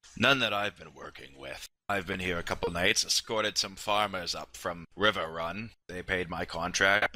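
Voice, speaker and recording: A man uses a put-on character voice, raspy and at a very deep, low pitch, with fairly even intonation. He keeps a moderate pace with hardly any pauses and big swings in loudness. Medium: actual play.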